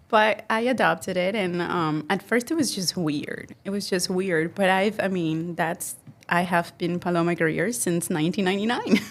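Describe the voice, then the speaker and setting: Spoken at a moderate pace with hardly any pauses, the voice shows ordinary pitch variation over noticeable background noise. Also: woman, medium pitch for a woman. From Mexico. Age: 40s. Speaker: entrepreneur and marketer. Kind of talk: podcast interview. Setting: studio.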